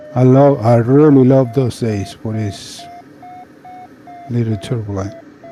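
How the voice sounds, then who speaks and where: A man with a medium-pitched voice speaks at a fairly slow pace. Noticeable background noise runs behind him. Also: fairly even intonation. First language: Spanish. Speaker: trucking business owner. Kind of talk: casual chat.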